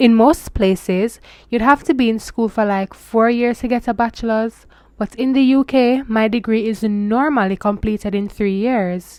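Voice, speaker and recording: At a moderate pace, a woman with a Jamaican accent speaks in a fairly high pitch with fairly even intonation. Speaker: international student vlogger. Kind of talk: casual vlog advice. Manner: switches into Jamaican Patois phrases.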